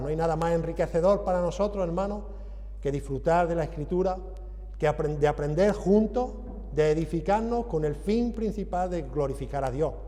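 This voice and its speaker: A man keeps a moderate tempo while audible room echo and noticeable background noise fill the recording. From Andalusia, southern Spain. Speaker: visiting preacher. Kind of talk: sermon.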